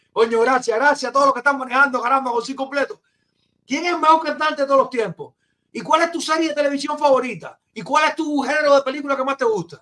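A man's raised, projected voice with a bright, sharp tone, extremely high in pitch, with ordinary pitch variation at a very fast pace. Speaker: podcast host. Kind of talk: casual chat. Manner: animated.

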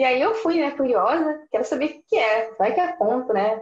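A woman at a moderate pace with very wide pitch swings and audible room echo. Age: 20s. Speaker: business student and graphic designer running a consultancy. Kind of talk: interview.

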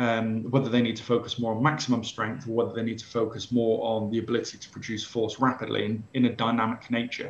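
At a fairly quick pace, a man with an English accent talks at a medium pitch. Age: 40s. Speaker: sports science professor. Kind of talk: interview.

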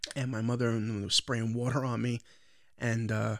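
A medium-pitched male voice with an American accent. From Long Island, New York. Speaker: podcast host and social media creator. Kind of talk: casual chat.

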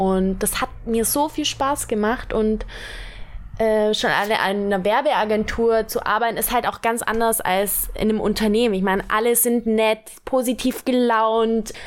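A woman with a fairly high pitch speaks fairly slowly with fairly even intonation and very even loudness, over noticeable background noise. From Germany, Allgäu (Bavarian Swabia). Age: 20s. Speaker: model. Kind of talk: casual chat. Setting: sitting on a bed at home.

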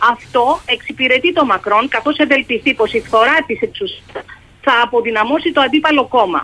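Here a woman is talking. Her pitch is high and her intonation lively. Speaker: journalist, foreign correspondent. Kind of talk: radio interview.

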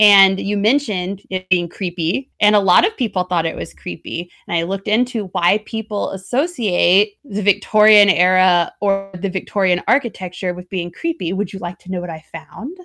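Over music in the background, a woman talks at a moderate pace with hardly any pauses and ordinary pitch variation. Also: medium pitch for a woman. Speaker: podcast host. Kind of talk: dramatic narration, reading a spooky passage aloud.

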